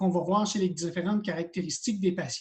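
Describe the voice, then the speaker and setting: A man speaks in a Quebec accent at a high pitch. His pace is fairly quick. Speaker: college teacher of hearing aid practice. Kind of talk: lecture. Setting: video call. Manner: fast when enthusiastic.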